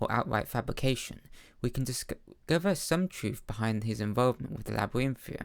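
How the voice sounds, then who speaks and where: In a normal speaking voice, the talker moves at a fairly quick pace with ordinary pitch variation. The recording is very clean, with a silent background. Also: man. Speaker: amateur audiobook-style reader of video game lore books. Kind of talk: fantasy lore book reading / narration.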